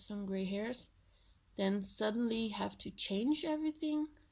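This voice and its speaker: Somewhat breathy and dark, mellow in tone, a woman speaks at a fairly slow pace with lively intonation. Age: 20s. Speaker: vlogger. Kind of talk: casual vlog. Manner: hesitant, with filler words.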